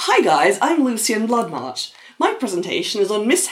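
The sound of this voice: Reading done in an unforced voice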